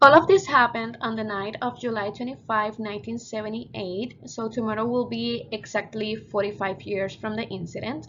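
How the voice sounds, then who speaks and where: A woman with a Spanish accent talks at a moderate pace in a fairly high pitch, with hardly any pauses and big swings in loudness. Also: ordinary pitch variation. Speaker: student. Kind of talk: class presentation.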